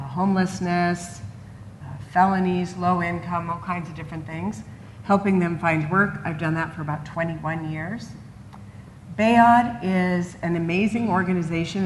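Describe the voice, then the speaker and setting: With audible room echo, a woman at fairly low pitch speaks at a moderate pace with ordinary pitch variation. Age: 60s. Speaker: job developer. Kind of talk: conference panel talk. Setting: stage with audience.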